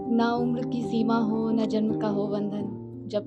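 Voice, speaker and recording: Music plays in the background as a woman speaks. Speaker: spoken word poet. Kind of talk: live spoken word poetry at open mic.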